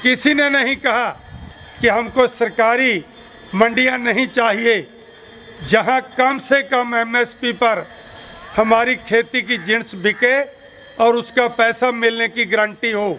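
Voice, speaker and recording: A man's raised, projected voice at an extremely high pitch, with a Punjabi accent, fairly even intonation and long, frequent pauses, over noticeable background noise. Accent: Punjabi-accented Hindi. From Punjab, India. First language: Punjabi (speaking Hindi). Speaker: farmers' union leader. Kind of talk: political speech at rally.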